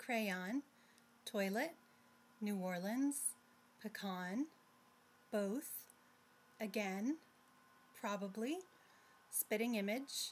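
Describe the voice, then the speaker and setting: A woman's somewhat breathy, fairly high voice, very slow with long, frequent pauses, lively intonation and very even loudness. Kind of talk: reading a word list.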